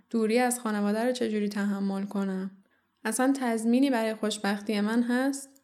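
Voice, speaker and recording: Fairly high-pitched woman in a plain, everyday voice, her intonation fairly even, her pace moderate. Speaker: podcast host. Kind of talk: scripted narration.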